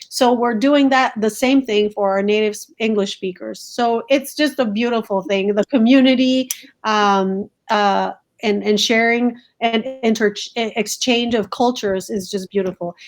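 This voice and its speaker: Her voice sits fairly high. This woman talks at a moderate speed. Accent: Spanish. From Colombia. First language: Spanish. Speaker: school principal. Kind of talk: interview. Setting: video call from home. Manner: animated.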